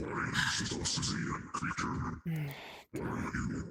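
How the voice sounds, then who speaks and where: A growling, put-on character voice moves at a moderate pace. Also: man. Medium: virtual streamer. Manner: garbled, broken phrasing.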